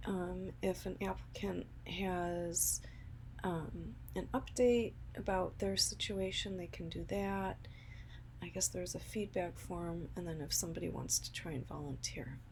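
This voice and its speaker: A soft-spoken woman delivers her words fairly slowly. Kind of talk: soft-spoken ASMR.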